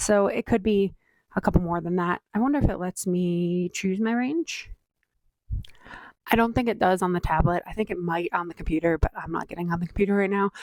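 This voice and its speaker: A woman with an unremarkable speaking voice and a medium pitch talks at a fairly quick pace, the sound dry and close with no echo. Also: ordinary pitch variation. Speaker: endurance athlete vlogger. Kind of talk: casual vlog monologue. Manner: chatty with fillers.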